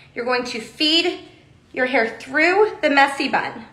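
With an American accent, a woman projects a raised, high-pitched voice in a bright, sharp tone. Room echo is audible. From Texas. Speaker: hair accessory brand presenter; presenter. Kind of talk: livestream tutorial. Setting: Instagram live video. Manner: animated. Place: studio. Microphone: phone near.

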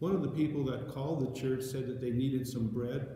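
Strong room echo surrounds a man with a dark, mellow tone, who talks at a fairly quick pace and a medium pitch with fairly even intonation.

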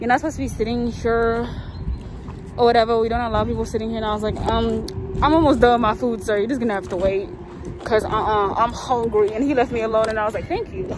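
Over noticeable background noise, a woman talks at a very fast pace with fairly even intonation in a dry sound with no echo. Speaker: vlogger. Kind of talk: casual vlog chat. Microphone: phone near.

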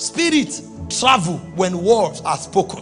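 A man at a very slow pace over faint background music. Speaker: preacher, apostle. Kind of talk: sermon, preaching to a congregation. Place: church. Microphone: handheld.

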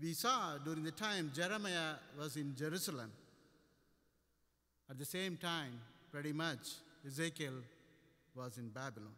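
A man's bright, sharp tone at a moderate pace, with lively intonation against a quiet background. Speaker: preacher. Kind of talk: sermon. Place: church. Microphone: podium.

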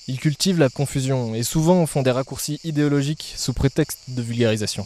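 Heard in a dry sound with no echo, a man speaks at a fairly quick pace with ordinary pitch variation. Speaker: agronomy student, channel creator; channel creator. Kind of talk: scripted channel presentation. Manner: casual, direct address to viewer. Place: garden. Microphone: handheld.

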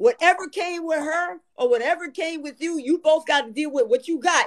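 At a fairly quick pace, a high-pitched woman speaks against a quiet background. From US. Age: 60s. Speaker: retired family court judge. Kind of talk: casual chat. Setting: livestream call. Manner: animated. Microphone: video call.

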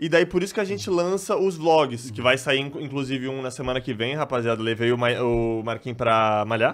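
Speaking at a fairly quick pace with hardly any pauses, a man uses lively intonation. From Salvador, Bahia, Brazil. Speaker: gaming YouTuber, part of a duo. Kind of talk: casual chat. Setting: studio. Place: studio. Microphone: studio mic.

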